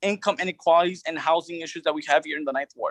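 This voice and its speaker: A man's high voice at a very fast pace, dry and close with no echo. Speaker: city council candidate. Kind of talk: candidate forum answers.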